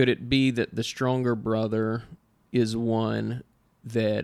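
The speaker has a Southern US accent and lively intonation. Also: man. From US South.

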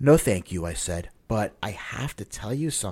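The clip features an unforced reading voice. Nothing else accompanies it.

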